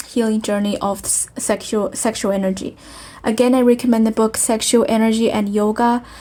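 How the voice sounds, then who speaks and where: With a non-native accent, a woman talks at a moderate pace in a fairly high pitch, somewhat breathy, with a dark, mellow tone and fairly even intonation. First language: not English. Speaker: spiritual healing video host. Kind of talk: spiritual self-help talk. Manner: halting, many fillers.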